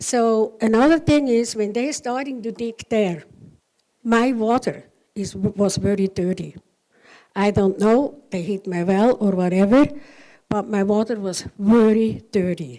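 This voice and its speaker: A woman with a non-native accent speaks at a fairly slow pace in a dark, mellow tone, her fairly high pitch showing ordinary variation. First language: not English. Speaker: resident speaking at public meeting. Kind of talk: public comment at council meeting. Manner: halting.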